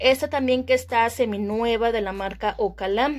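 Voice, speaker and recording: A woman talks with a fairly high pitch that varies in an ordinary way. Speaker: beauty vlogger. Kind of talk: casual product tour video. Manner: chatty, with many filler sounds.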